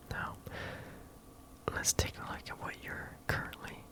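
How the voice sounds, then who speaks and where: Whispering, a man is heard through noticeable background noise. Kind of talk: ASMR roleplay as a business executive, talking to the listener. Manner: soft-spoken, conversational, businesslike.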